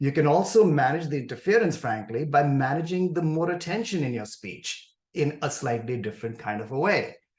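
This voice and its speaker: At a fairly quick pace, a man speaks somewhat breathily, with ordinary pitch variation. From India. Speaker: professor of communication disorders. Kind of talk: podcast interview. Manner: halting, with repetitions and blocks.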